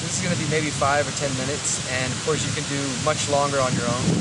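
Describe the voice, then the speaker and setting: Over noticeable background noise, the speaker rushes along at a very fast pace with monotone, flat intonation. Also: man, fairly high pitch for a man. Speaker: meditation guide. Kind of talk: casual talk to camera. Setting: outdoors.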